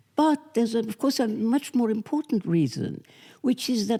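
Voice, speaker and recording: A woman with a British accent and a dark, mellow tone. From England. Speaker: author. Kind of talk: interview. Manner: halting.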